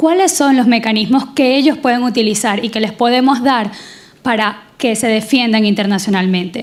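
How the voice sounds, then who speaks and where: With a Venezuelan accent, a woman speaks at a moderate pace in a fairly high pitch with ordinary pitch variation. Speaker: audience member. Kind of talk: audience question.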